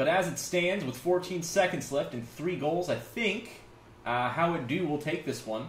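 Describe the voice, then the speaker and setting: High-pitched male speech at a fairly slow pace, with noticeable background noise. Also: ordinary pitch variation. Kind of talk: esports color commentary. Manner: measured, analytical, hesitant with fillers, laid-back.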